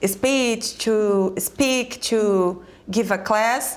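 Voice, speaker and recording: A woman speaks very slowly in a Brazilian Portuguese accent. Her intonation stays fairly even. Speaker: educator and speaker. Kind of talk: panel discussion. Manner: halting.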